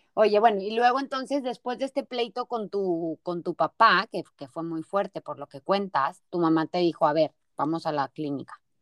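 A woman with an ordinary speaking voice talks at a moderate pace and medium pitch, her intonation lively. The recording is very clean, with a silent background and a dry, close sound with no echo. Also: hardly any pauses, big swings in loudness. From Mexico, Torreón, Coahuila. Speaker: podcast host. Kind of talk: interview.

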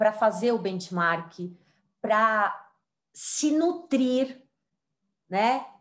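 Very slow delivery in a woman's fairly high register. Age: 40s. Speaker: diversity and digital transformation consultant. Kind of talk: interview.

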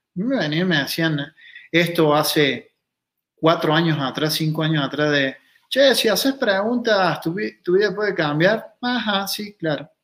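Lively intonation marks a man's high-pitched voice. He speaks at a fairly slow pace. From Argentina, Río Cuarto, Córdoba. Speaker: consciousness workshop facilitator, former kickboxer. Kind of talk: casual interview.

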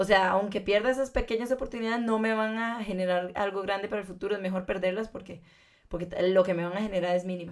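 Her voice is an unremarkable speaking voice, medium in pitch for a woman, with fairly even intonation. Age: 20s. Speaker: fashion designer. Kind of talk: casual interview.

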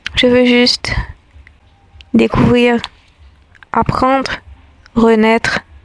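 A woman talks at a very slow pace. Her fairly high voice has a monotone, flat intonation. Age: 20s. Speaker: spoken-word essayist. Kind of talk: reflective scripted monologue.

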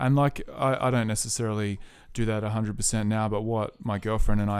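Delivered at a very fast pace in an Australian accent, the speech has monotone, flat intonation. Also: man. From rural New South Wales, Australia. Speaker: musician and army veteran. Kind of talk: casual chat.

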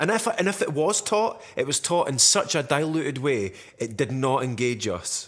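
A man's fairly high voice in a Dundee accent, with very wide pitch swings at a moderate pace. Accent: Scottish (Dundonian). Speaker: podcast host. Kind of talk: casual chat.

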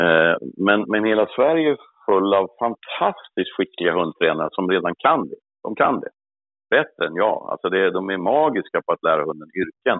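Here a man speaks at a moderate pace with a fairly low pitch. His intonation is lively. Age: 60s. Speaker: hunting dog trainer. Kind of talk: interview.

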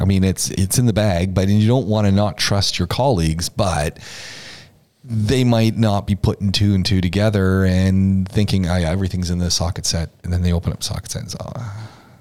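At a moderate pace, this is a normal speaking voice with fairly even intonation. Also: man, fairly low pitch for a man. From Canada, Ontario. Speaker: podcast host. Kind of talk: casual chat. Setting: studio.

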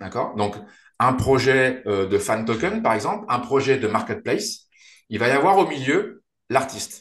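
Very wide pitch swings run through a man's speech at a fairly slow pace. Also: medium pitch for a man. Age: 40s. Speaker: startup founder and CEO. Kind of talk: interview. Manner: halting, many repetitions and fillers.

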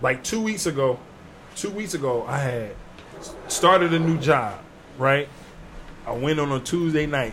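A man's fairly high voice at a fairly slow pace, with ordinary pitch variation, long and frequent pauses, and noticeable background noise. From New Jersey. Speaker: comedian. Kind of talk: casual chat.

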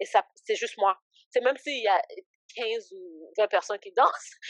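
The woman's voice is fairly high, with ordinary pitch variation. She speaks at a moderate pace in a dry, close sound with no echo. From Canada, Ottawa area, Haitian-born. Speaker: ministry founder. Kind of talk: casual interview, faith testimony. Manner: hesitant, many fillers.

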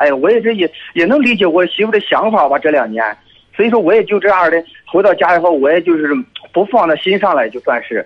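A man with a high pitch and lively intonation speaks very fast. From Shandong, Dezhou. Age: 30s. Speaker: military officer calling in for advice. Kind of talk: call-in advice conversation.

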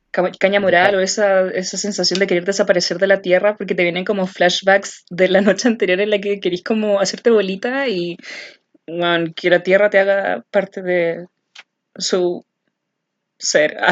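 In a Chilean accent, a woman speaks at a medium pitch and a moderate pace with fairly even intonation. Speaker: podcast co-host. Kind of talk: casual chat.

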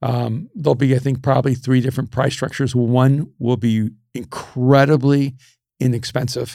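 Spoken in a monotone with flat intonation, the voice comes through on a very clean recording against a silent background. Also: man. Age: 60s. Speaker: pastor and author. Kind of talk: casual chat. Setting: studio. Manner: passionate.

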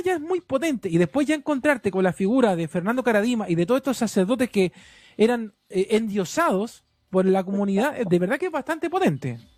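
A man with a Chilean accent, high in pitch, very wide pitch swings, fairly quick pace, dry, close sound with no echo. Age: 30s. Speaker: radio host. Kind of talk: radio interview.

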